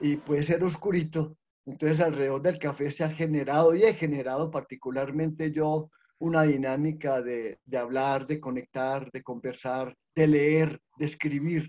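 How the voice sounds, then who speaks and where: Here a man speaks in a dark, mellow tone. His pace is fairly slow and his intonation fairly even. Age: 60s. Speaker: social worker. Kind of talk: online panel presentation.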